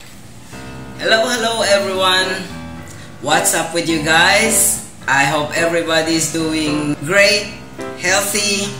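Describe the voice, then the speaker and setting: Over clear music in the background, a woman speaks very slowly in a fairly low pitch. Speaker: vlogger. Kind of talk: casual vlog chat. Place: home room. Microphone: phone near.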